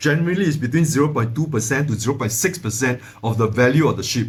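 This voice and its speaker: A man's voice, somewhat breathy, with ordinary variation in pitch. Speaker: finance educator, channel owner. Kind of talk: tutorial. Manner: fast; halting, many fillers and repeats.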